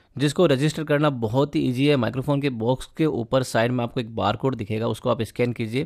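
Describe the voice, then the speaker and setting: The background is quiet as a man speaks at a moderate pace. His intonation is lively. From India. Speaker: YouTuber reviewing audio gear, DJ and musician; musician reviewing microphones. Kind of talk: product review. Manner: animated. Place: studio.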